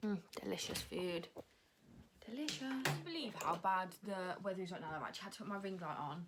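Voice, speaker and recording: At a fairly quick pace, a woman with an English accent talks in an animated tone with lively intonation. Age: 20s. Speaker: vlogger and dance student. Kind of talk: casual vlog. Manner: fast.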